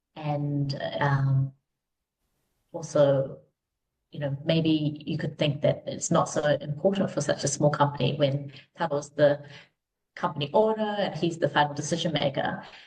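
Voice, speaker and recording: A woman with a very deep, low pitch and a New Zealand accent speaks at a fairly slow pace, somewhat breathy, with fairly even intonation and long, frequent pauses. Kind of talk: podcast interview. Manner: many filler words, um.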